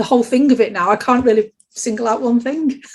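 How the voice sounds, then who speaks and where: This is a woman with a Sheffield accent. Her pitch varies in an ordinary way. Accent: Yorkshire (Sheffield) English. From Yorkshire, Sheffield. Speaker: interviewee. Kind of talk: casual interview.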